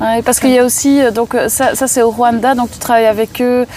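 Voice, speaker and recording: Over noticeable background noise, a woman speaks at a fairly quick pace with a high pitch and fairly even intonation. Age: 30s. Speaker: podcast host. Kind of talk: interview. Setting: outdoors in a park.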